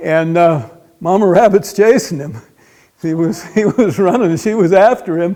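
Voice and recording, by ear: This man has a high pitch and a dark, mellow tone. He talks at a moderate pace with ordinary pitch variation.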